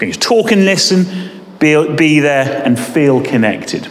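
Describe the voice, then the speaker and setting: With lively intonation, a man talks in a space with audible room echo. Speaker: deputy head teacher. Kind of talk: school assembly talk. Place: hall. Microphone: camera far.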